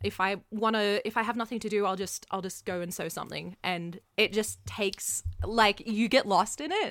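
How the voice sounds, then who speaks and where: On a very clean recording with a silent background, a woman of medium pitch shows vocal fry, fairly even intonation, a moderate pace and hardly any pauses. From Canada. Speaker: musical theatre performer and costume maker. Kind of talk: casual interview.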